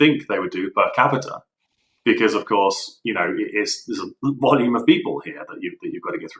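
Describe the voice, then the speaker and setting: The speaker talks at a fairly quick pace with a southern English accent. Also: man. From southern England, Eastbourne. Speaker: enterprise architect. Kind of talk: casual interview discussion.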